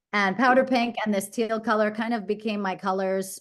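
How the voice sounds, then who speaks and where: A woman speaks with a New York accent. Her pitch is fairly high. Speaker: branding expert. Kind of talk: presentation. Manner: fast.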